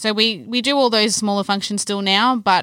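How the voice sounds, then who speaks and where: On a very clean recording with a silent background, a woman speaks at a fairly quick pace. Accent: Australian. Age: 20s. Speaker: events manager. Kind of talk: casual podcast chat.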